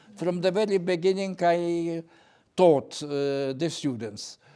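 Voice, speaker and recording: In a Lithuanian accent, a man speaks with a dark, mellow tone. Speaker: poet and retired professor. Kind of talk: panel interview. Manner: halting, with repetitions.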